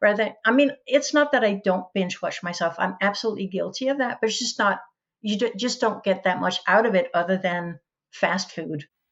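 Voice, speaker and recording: At a moderate pace, a woman with a medium pitch speaks with ordinary pitch variation. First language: Danish. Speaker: educator and author. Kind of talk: podcast interview.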